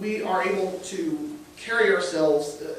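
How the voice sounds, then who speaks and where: With an American accent, a man speaks in a high pitch with very wide pitch swings over noticeable background noise. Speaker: preacher. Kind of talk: church sermon.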